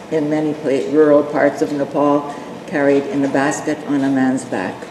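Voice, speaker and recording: A woman speaks at a fairly slow pace with a very deep, low pitch, and noticeable background noise runs underneath. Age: 80s+. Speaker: volunteer missionary health worker in Nepal. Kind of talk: presentation with slides. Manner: halting, many fillers; reading from notes.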